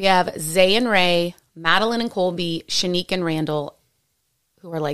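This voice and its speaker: In an American accent, a woman speaks with a fairly low pitch. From San Francisco Bay Area, US. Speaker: podcast co-host. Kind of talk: casual chat between partners.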